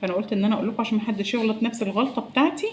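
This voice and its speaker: Speaking in an Egyptian accent, a woman uses a fairly high pitch with ordinary pitch variation while noticeable background noise runs underneath. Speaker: cooking vlogger. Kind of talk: cooking tutorial. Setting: home kitchen. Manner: soft-spoken.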